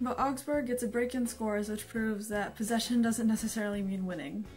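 Quiet and fairly high-pitched, a woman's voice keeps fairly even intonation over music in the background. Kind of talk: casual talk to camera.

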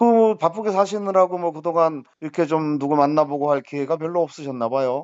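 A man with a normal speaking voice and a fairly high pitch talks at a fairly quick pace. He uses ordinary pitch variation and hardly any pauses. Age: 60s. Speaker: matchmaking channel host interviewing a client. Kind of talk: casual interview by phone.

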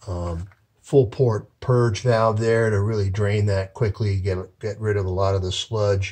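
Somewhat breathy and fairly low-pitched, a man talks at a fairly slow pace with fairly even intonation. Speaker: heating contractor. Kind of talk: tutorial. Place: home room. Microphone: phone near.

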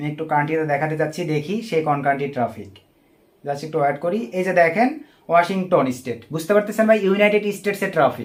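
This is a man with a normal speaking voice. His pitch is fairly high and his intonation lively. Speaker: online marketing trainer. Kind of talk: tutorial. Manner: casual, addresses viewers as brother often.

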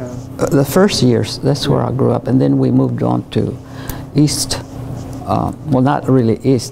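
With music in the background, a woman with an American accent talks at a moderate pace, leaving long, frequent pauses. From Fort Worth, Texas. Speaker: oral history interviewee. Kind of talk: interview answer. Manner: casual, reminiscing. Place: classroom. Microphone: lapel.

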